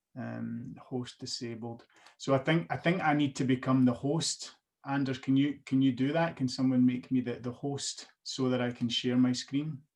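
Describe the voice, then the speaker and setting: With a Scottish accent, the speaker keeps a moderate pace and fairly even intonation. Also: man, medium pitch for a man. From Scotland. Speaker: whisky brand ambassador. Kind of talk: guided online tasting presentation. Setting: video call.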